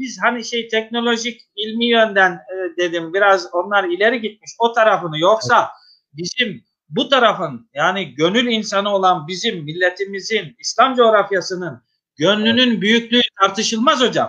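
A man with a high pitch and a bright, sharp tone speaks in a raised, projected voice against a quiet background. His pace is moderate, with ordinary pitch variation and hardly any pauses. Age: 50s. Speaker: mosque musician and religious official, interview host; interview host. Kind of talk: religious interview talk. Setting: online live broadcast. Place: home room. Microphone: video call.

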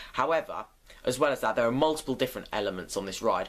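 His pitch variation is ordinary. The voice is a man's. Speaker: roller coaster fan vlogger. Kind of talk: casual vlog chat. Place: home room. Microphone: webcam.

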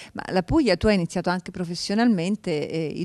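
A woman with a fairly low pitch talks with fairly even intonation in a dry sound with no echo against a quiet background. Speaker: TV talk show host. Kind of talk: interview. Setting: studio. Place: studio. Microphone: handheld.

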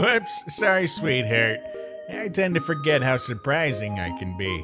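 A man's put-on character voice, fairly high with very wide pitch swings, at a moderate pace, over clear background music. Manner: relaxed, teasing.

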